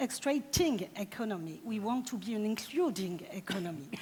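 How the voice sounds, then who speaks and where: A woman speaks with a French accent. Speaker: deputy mayor. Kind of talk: conference panel discussion. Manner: halting.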